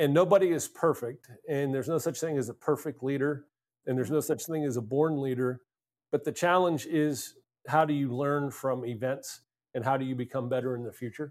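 An unremarkable speaking voice from a man with an American accent, fairly high in pitch and fairly quick in pace, with fairly even intonation, on a very clean recording with a silent background. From US, Pennsylvania (Altoona). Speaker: leadership speaker, former naval commander. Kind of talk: interview conversation.

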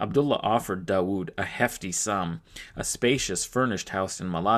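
The words are read aloud plainly. Nothing more is added to the reading.

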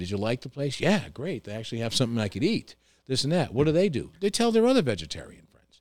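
A man with a New York accent, very fast, with very wide pitch swings and big swings in loudness. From New York, Hudson Valley (Tarrytown). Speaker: restaurant owner. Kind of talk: casual chat.

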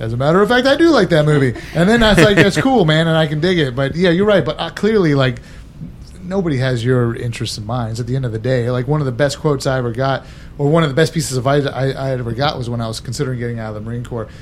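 At a very fast pace and with lively intonation, a man speaks in a fairly high pitch over noticeable background noise. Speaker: whiskey bar owner. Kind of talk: casual chat.

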